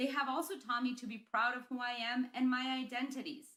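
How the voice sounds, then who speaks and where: Speaking at a fairly quick pace, a woman with a Spanish accent uses a high pitch and a bright, sharp tone. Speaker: school principal. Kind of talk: graduation speech.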